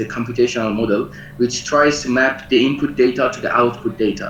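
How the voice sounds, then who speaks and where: A man with a non-native accent at medium pitch and moderate pace, with ordinary pitch variation, noticeable background noise and audible room echo. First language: not English. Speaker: lecturer and researcher. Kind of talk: online lecture. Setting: video call. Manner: halting, many fillers. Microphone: poor internet connection.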